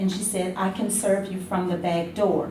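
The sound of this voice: A woman speaks at a medium pitch. Her voice carries audible room echo.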